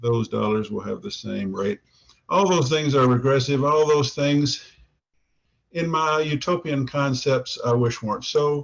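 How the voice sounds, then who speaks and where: Using ordinary pitch variation, a man with a fairly high pitch speaks at a fairly slow pace. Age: 60s. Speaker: newspaper columnist. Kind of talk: interview. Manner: halting, many fillers.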